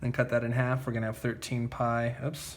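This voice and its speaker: The speaker is a man at a medium pitch. His delivery is somewhat breathy. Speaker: math teacher. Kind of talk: tutorial. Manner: casual, many fillers like okay.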